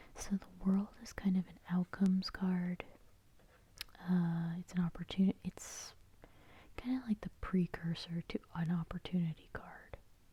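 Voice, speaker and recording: A soft-spoken, somewhat breathy woman at medium pitch and a fairly slow pace, with a soothing, dark, mellow tone, fairly even intonation and big swings in loudness, in a dry, close sound with no echo. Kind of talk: tarot reading. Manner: soft-spoken, soothing.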